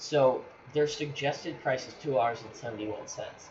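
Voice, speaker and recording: Amid noticeable background noise and audible room echo, a man at a medium pitch speaks at a moderate pace with ordinary pitch variation. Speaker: gaming channel creator. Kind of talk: tutorial. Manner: halting, stuttering; casual, filler-heavy. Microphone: poor mic quality.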